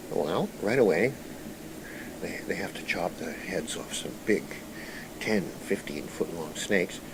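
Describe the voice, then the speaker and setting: The speech has lively intonation, with noticeable noise in the background. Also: man. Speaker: storyteller recounting channeled information. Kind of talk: storytelling monologue.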